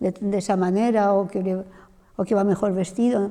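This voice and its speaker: Her tone is dark and mellow as the woman speaks at a medium pitch and a moderate pace. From Mallorca, Spain. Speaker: missionary and theology lecturer. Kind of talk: Q&A after lecture.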